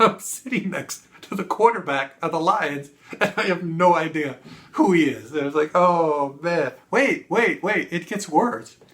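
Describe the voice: Fairly slow pace, lively intonation and a fairly bright tone. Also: man, fairly high pitch for a man.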